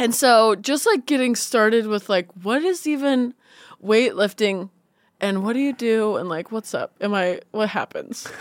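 A woman's plain, everyday voice, fairly high-pitched with ordinary pitch variation, at a fairly slow pace, in a dry, close sound with no echo. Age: 30s. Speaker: comedian and musician. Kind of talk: casual chat.

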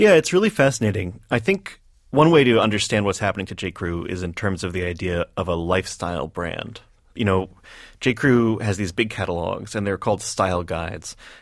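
A plain, everyday voice from a man, fairly low in pitch, with ordinary pitch variation and a fairly quick pace, in a very clean recording with a silent background. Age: 30s. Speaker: magazine writer and editor. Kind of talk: radio interview. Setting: studio.

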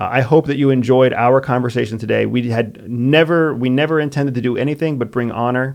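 Speaking in an unremarkable speaking voice with an American accent, a man talks at a medium pitch. His pace is fairly quick and his intonation fairly even. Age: 40s. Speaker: former spy and military veteran, podcast host. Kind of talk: casual chat.

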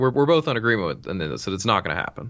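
A man's voice with an American accent, vocal fry and very wide pitch swings. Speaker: baseball writer. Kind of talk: casual chat.

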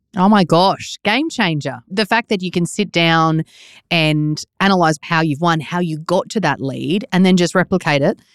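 In a very clean recording with a silent background and a dry, close sound with no echo, a woman with an Australian accent talks at a moderate pace, her fairly low pitch showing ordinary variation. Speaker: podcast host.

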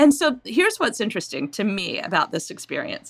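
With an American accent, a woman speaks in a bright, sharp tone with vocal fry and very wide pitch swings, on a very clean recording with a silent background. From Maine, US. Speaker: novelist. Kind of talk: interview. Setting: home recording.

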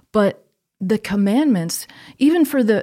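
A woman with an American accent speaks at medium pitch and a moderate pace, her tone dark and mellow and somewhat breathy. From US Northeast, Connecticut. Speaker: theologian. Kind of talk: podcast interview.

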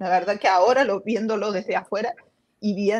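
With a plain, everyday voice, a woman speaks at a medium pitch with fairly even intonation. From Argentina, Córdoba. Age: 40s. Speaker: former cult member sharing her story. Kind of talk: interview testimony. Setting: live stream.

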